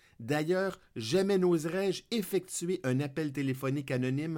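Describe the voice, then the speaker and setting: Fairly slow delivery with ordinary pitch variation. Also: man. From Quebec. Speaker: podcaster. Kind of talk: scripted narration.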